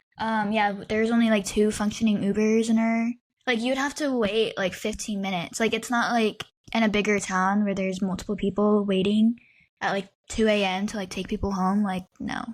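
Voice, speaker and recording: In a very clean recording with a silent background, a woman with an American accent speaks at a fairly quick pace, fairly high in pitch and with fairly even intonation. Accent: slight southern-ish. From US Midwest. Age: 20s. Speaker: podcast co-host. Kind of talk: casual chat.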